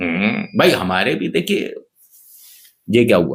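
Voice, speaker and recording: A man's somewhat breathy voice at medium pitch. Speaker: news commentary youtuber. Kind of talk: comedic news narration. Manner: animated; subdued, slightly muffled. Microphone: cheap camera.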